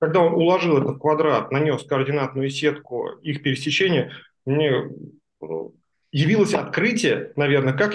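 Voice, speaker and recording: A somewhat breathy man speaks at a fairly high pitch and a moderate pace, with ordinary pitch variation. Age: 40s. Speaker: stair craftsman. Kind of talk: book club discussion.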